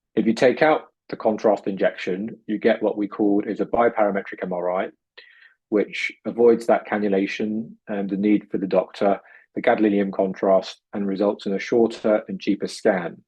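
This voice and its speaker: A man with a British accent talks at a moderate pace. His fairly low voice keeps a fairly even intonation. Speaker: urologist and researcher. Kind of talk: lecture.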